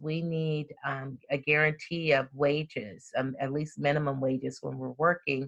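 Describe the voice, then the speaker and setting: A woman speaks at a fairly slow pace in an American accent. Her pitch is very deep and low. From US South (Birmingham, Alabama) and Compton, California. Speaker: employment lawyer and mediator. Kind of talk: interview.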